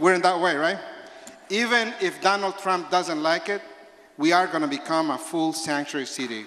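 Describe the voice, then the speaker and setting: A man with a Spanish accent speaks at a moderate pace and a high pitch, with audible room echo and noticeable background noise. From El Salvador. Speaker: labor organizer. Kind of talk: speech at a town hall. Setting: town hall with audience.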